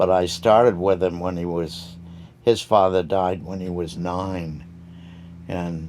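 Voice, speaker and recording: A man's very deep, low voice, flat and monotone, at a fairly slow pace. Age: 90s. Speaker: craftsman. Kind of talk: interview.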